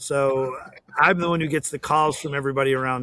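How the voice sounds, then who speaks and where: With an ordinary speaking voice, a man talks at a fairly quick pace and keeps his intonation fairly even. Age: 60s. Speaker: plumbing business owner. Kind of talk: casual interview.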